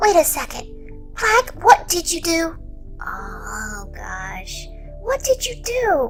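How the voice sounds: Over clear background music, a woman does a put-on character voice at an extremely high pitch, slow, with vocal fry and big pitch swings.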